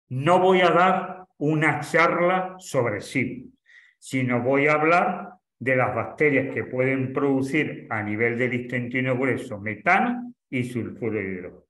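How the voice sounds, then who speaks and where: Very slowly and with lively intonation, a man at medium pitch speaks amid audible room echo. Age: 70s. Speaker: doctor giving a course lecture. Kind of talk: lecture Q&A. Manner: halting.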